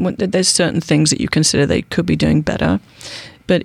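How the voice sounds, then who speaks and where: A woman's very fast speech over noticeable background noise. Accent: British. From United Kingdom. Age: 40s. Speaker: political activist. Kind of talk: casual interview.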